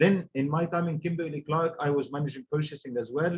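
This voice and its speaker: Speaking at a fairly quick pace with an Arabic accent, a man with a fairly high pitch sounds somewhat breathy. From Egypt. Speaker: supply chain director and trainer. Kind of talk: webinar talk. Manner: halting, many fillers.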